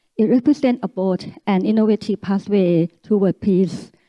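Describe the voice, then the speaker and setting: Speaking in a Thai accent, a woman keeps a medium pitch with ordinary pitch variation. Her pace is moderate. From Thailand. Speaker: academic speaker. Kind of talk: reading aloud; conference talk. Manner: halting.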